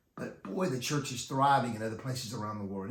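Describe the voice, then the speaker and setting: Audible room echo surrounds a man with an American accent whose voice is somewhat breathy. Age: 60s. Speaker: youth ministry teacher and author. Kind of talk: talk to youth ministry leaders. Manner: halting.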